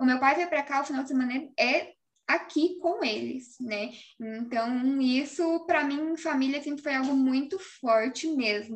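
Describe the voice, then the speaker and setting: A woman's high-pitched voice at a fairly slow pace. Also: ordinary pitch variation. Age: 20s. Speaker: engineer and design office owner. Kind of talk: casual interview chat.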